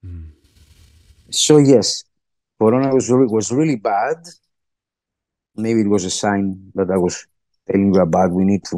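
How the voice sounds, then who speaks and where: With a Greek accent, a man speaks at a fairly low pitch and a moderate pace, using ordinary pitch variation, big swings in loudness and long, frequent pauses, in a dry sound with no echo over a quiet background. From Greece. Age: 50s. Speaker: podcast guest. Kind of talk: interview. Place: home room. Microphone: video call.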